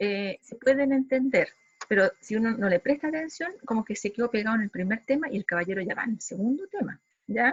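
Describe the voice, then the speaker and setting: Lively intonation marks this woman's high-pitched voice. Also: fairly quick pace. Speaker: psychology lecturer. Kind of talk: lecture. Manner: fast.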